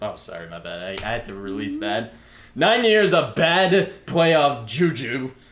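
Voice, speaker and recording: Music plays in the background as a man talks at a fairly slow pace with audible room echo. His medium pitch shows very wide swings. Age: 20s. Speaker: podcast host. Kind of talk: casual chat.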